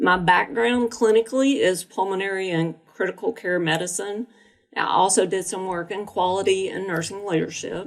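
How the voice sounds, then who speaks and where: The recording is very clean, with a silent background. A woman talks at a moderate pace and medium pitch with ordinary pitch variation. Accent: Alabama. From Alabama. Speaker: nurse and healthcare IT executive. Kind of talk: interview podcast.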